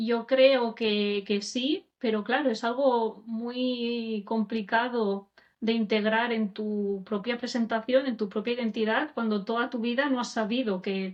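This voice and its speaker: With hardly any pauses, a woman talks at a fairly slow pace in a fairly high voice whose intonation stays fairly even. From Catalonia, province of Barcelona. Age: 30s. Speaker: podcast host and teacher, interviewed. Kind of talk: interview about her own life. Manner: hesitant, many fillers.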